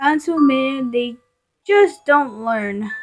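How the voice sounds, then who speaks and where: A woman's put-on character voice at a high pitch. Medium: read story. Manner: polite, gentle.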